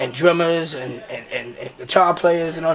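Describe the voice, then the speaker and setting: A man with a New York accent and a high pitch speaks over noticeable background noise. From South Bronx, New York. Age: 60s. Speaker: singer. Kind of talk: casual chat. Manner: animated.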